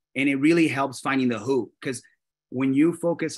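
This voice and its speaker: Against a quiet background, a man with a Spanish accent speaks at a moderate pace and a medium pitch. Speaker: real estate brokerage leader. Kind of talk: panel discussion. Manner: halting, many restarts.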